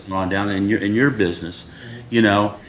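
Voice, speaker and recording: A man with an American accent speaks in a fairly low pitch over noticeable background noise. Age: 60s. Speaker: city board member. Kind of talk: public meeting discussion. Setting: city board meeting. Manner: halting, many fillers.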